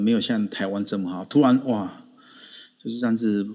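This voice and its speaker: A man speaks at a fairly quick pace in a plain, everyday voice. His pitch sits in the medium range. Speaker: adjunct assistant professor, Korea commentator. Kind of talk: casual chat. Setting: online audio room.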